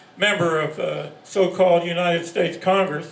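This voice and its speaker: Amid audible room echo and noticeable background noise, a man with a high pitch talks with fairly even intonation. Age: 80s+. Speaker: activist, rally organizer. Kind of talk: rally speech. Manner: halting, repeats words.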